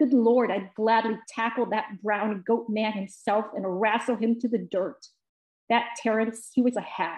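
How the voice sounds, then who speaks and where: Speaking at a fairly slow pace with an American accent, a woman keeps her intonation fairly even while audible room echo fills the recording. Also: quiet background. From US Midwest. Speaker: poet. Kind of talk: interview. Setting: video call. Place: home room. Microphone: video call.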